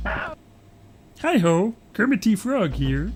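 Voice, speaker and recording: A nasal, middle-pitched put-on character voice. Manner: cheerful.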